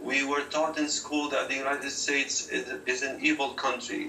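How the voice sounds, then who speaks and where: Against noticeable background noise and audible room echo, a man with an Arabic accent talks at a fairly slow pace. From Syria. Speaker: activist, former rebel, refugee. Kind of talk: TV news interview.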